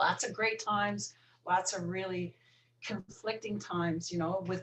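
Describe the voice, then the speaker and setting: A woman's fairly low, somewhat breathy voice at a moderate pace, with fairly even intonation. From Newfoundland, Canada. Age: 50s. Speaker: recovering alcoholic. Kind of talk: podcast interview.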